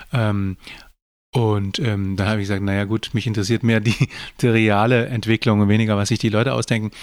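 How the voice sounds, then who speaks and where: In an ordinary speaking voice, a man speaks fairly quickly at a fairly low pitch, with fairly even intonation and very even loudness on a very clean recording with a silent background. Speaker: podcast co-host, father of the other host, author. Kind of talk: casual chat.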